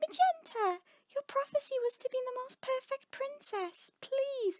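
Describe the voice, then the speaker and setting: A squeaky, female-sounding put-on character voice at an extremely high pitch and a moderate pace. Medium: read story. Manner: earnest, gentle, proper.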